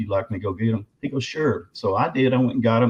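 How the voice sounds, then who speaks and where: Medium-pitched male voice in a Southern US accent, with ordinary pitch variation. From Arkansas. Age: 60s. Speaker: bigfoot researcher and author. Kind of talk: interview storytelling.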